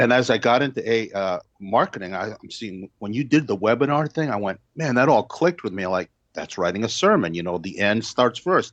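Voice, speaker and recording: Against a quiet background, a man with an unremarkable speaking voice goes at a fairly quick pace with hardly any pauses, medium pitch, lively intonation and big swings in loudness. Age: 60s. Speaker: retired pastor. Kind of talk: interview answer.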